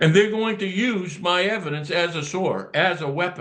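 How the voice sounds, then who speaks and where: A man talks at a moderate pace. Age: 70s. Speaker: whistleblower. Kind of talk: casual chat. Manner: animated.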